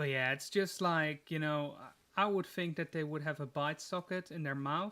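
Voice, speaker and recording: On a very clean recording with a silent background, a man with a non-native accent speaks at a moderate pace, with a fairly high pitch, a bright, sharp tone, and fairly even intonation. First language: not English. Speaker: gaming streamer. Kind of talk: live gameplay stream chat. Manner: casual, hesitant with fillers.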